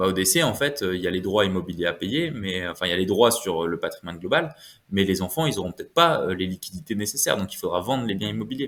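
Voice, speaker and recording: A man's very fast speech with lively intonation. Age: 20s. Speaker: wealth management adviser. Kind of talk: podcast interview. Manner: hesitant, many fillers.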